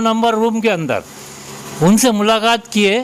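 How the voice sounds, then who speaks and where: A man with a high pitch is heard over noticeable background noise. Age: 70s. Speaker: elderly citizen with a complaint. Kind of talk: news interview testimony.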